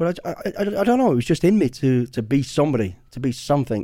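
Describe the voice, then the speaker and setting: This is a man with an English Midlands accent. His pitch is medium for a man. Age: 50s. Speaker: former special forces soldier and author. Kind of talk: casual interview.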